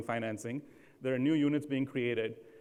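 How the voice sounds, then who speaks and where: The speaker talks at a very fast pace with an American accent and fairly even intonation. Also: man. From India. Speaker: housing finance leader. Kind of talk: keynote talk. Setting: stage with audience.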